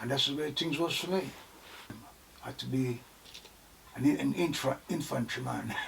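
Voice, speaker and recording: Against noticeable background noise, a man with a fairly high pitch and ordinary pitch variation talks at a moderate pace, with long, frequent pauses. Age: 70s. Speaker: army veteran. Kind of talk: personal testimony interview.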